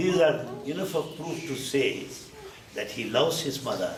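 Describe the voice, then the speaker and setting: A man speaks with a Telugu accent. Noticeable background noise and audible room echo surround him. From India, Andhra Pradesh. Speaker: spiritual speaker. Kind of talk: talk to a gathering. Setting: dinner event with audience. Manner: animated.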